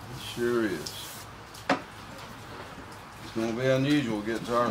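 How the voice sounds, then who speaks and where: A man speaks with a Southern US accent. Noticeable background noise and audible room echo are present. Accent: Southern US (Georgia). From US South, Atlanta, Georgia. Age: 60s. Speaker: guitar builder. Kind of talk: tutorial. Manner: casual, folksy.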